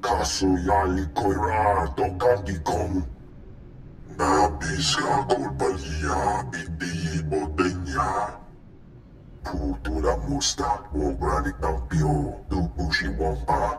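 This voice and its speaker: A man's put-on character voice, very deep and low, growling with a pompous tone at a very slow pace, amid loud background noise and slight echo. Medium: video game. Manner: slow, pompous.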